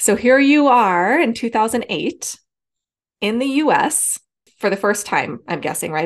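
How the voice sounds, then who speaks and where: This woman has a plain, everyday voice, moving at a moderate pace with lively intonation. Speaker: podcast host. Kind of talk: casual interview.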